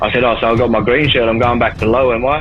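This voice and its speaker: Over background music, a man with an Australian accent talks very fast at a medium pitch in a monotone, flat intonation. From Darwin, Northern Territory, Australia. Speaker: former prisoner in recovery. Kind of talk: podcast interview answer. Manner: casual, profane.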